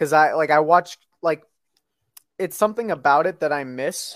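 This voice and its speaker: Nothing can be heard behind the voice in this very clean recording. The speaking pace is moderate. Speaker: podcast host. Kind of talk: casual chat. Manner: halting, filler-heavy.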